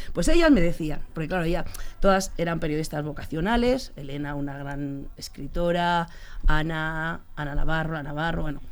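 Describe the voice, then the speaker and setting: A woman speaks at a moderate pace with a very deep, low pitch and ordinary pitch variation. Her loudness swings widely, and audible room echo surrounds her. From Spain, Leganés (Madrid). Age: 50s. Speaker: sports journalist. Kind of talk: interview.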